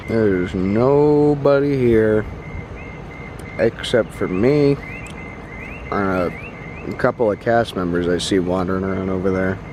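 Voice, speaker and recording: Noticeable background noise sits behind a man with a fairly low voice. He talks at a fairly slow pace with long, frequent pauses. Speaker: travel vlogger. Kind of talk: vlog narration. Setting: outdoors. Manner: quiet.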